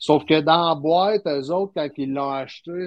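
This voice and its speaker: A man speaks in a Quebec accent. His pace is moderate and his pitch variation ordinary. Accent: Québécois French. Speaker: slot car and RC hobbyist. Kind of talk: casual chat.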